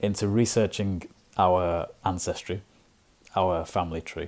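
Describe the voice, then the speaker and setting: A man speaks with a Liverpool accent. His tone is dark and mellow. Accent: Scouse accent, will always have it. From Liverpool, northern England. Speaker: English teacher and podcaster. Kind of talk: casual talk to camera. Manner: hesitant, many fillers.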